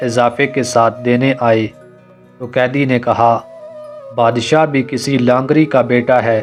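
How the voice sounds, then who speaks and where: The intonation is monotone and flat. Music can be heard in the background. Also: man. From Azad Kashmir. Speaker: voice-over artist. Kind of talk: story narration.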